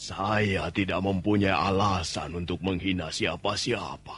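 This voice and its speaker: A man puts on a raspy character voice, pitched very deep and low. He speaks at a fairly slow pace in a flat monotone. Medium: audio drama. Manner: calm, brief, wry.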